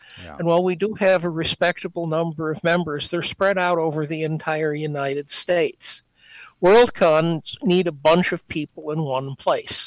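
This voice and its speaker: In a very clean recording with a silent background and a dry, close sound with no echo, a man speaks at a moderate pace with a high pitch and fairly even intonation. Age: 70s. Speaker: fan club president. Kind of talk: casual chat.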